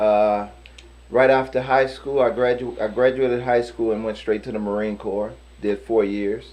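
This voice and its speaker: A man at a medium pitch, with ordinary pitch variation, has an ordinary speaking voice. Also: moderate pace. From US Midwest, St. Louis, Missouri. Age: 50s. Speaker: boxer and kickboxer, Marine veteran. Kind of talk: casual interview.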